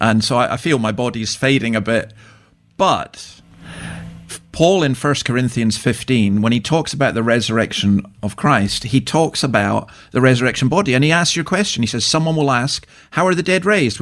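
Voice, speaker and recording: A man with a Scottish accent talks at a fairly quick pace in a medium pitch. His intonation is lively, and music plays in the background. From Scotland. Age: 60s. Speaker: church minister and author. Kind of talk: radio interview.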